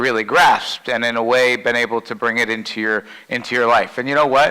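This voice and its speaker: At a fairly quick pace, a man talks at a medium pitch. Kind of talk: keynote talk to a group. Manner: loud.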